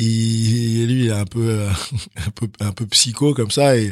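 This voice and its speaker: Recorded very cleanly against a silent background, a man speaks at medium pitch. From France, Chalon-sur-Saône (born in Benin, moved at 6). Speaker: professional handball player. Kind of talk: casual interview. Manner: halting, many fillers and repetitions.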